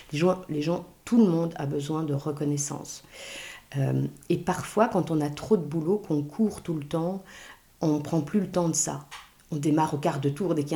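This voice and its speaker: A woman speaks at a moderate pace with a very deep, low pitch and a dark, mellow tone. Her voice is somewhat breathy, with ordinary pitch variation. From Belgium and Luxembourg. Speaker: author and burnout expert. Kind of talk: interview.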